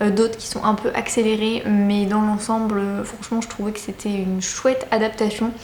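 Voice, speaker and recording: A woman's fairly high, flat, monotone voice at a moderate pace, over noticeable background noise. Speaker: book vlogger. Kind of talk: casual vlog talk to camera. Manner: hesitant with many fillers.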